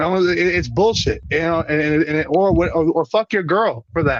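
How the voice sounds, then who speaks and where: Using a high pitch with ordinary variation, a man talks at a moderate pace. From Puerto Rico. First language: Spanish. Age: 40s. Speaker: professional wrestler. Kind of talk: casual interview chat. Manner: animated.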